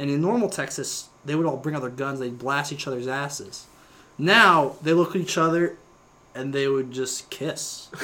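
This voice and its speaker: This man has an unremarkable speaking voice and a fairly high pitch. He keeps a moderate pace with ordinary pitch variation. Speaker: podcast host. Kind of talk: casual chat. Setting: home studio, drinking. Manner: rambling, filler-heavy.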